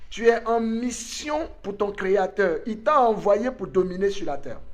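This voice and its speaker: At a very slow pace, a man talks with a high pitch and ordinary pitch variation, with audible room echo around him. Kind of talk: online conference talk, sermon-like.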